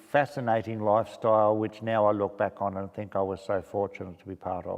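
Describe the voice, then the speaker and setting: The man has an Australian accent and a fairly low pitch. He talks at a fairly quick pace with fairly even intonation. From south-west Victoria, Australia. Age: 70s. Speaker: community volunteer. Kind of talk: interview answer.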